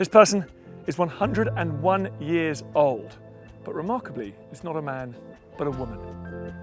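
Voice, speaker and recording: Music plays behind a man speaking at a moderate pace in a medium pitch. His pitch swings very widely. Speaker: presenter. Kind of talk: documentary presenting and interview questions.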